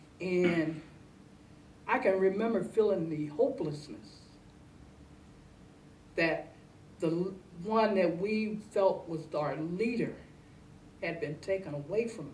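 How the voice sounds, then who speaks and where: A somewhat breathy woman with an American accent, lively intonation, big swings in loudness, a very slow pace, and long, frequent pauses. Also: medium pitch for a woman. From Ohio, US. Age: 60s. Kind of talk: interview answer.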